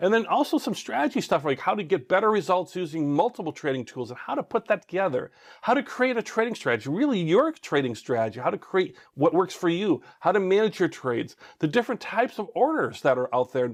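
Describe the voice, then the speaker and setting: Very fast, with hardly any pauses, a man speaks in a high pitch and an animated tone. His pitch swings very widely over a quiet background. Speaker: online course instructor. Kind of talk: tutorial.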